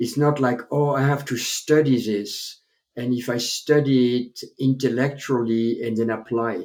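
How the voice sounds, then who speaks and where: With a French accent, a man speaks at a medium pitch in a dark, mellow tone with ordinary pitch variation. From France (Paris). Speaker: chiropractor, author and public speaker. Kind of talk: interview, storytelling.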